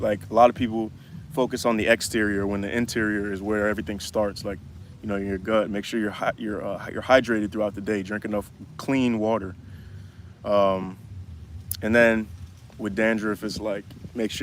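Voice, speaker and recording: A man's relaxed, fairly low voice at a moderate pace in a monotone, flat intonation. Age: 20s. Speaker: YouTuber answering viewer questions. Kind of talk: livestream Q&A. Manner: casual, relaxed.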